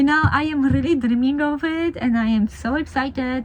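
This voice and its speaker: A woman with a Polish accent, high in pitch, at a moderate pace with ordinary pitch variation, over noticeable background noise. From Poland. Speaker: family vlogger. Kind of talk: casual vlog talk to camera. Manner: conversational, with fillers.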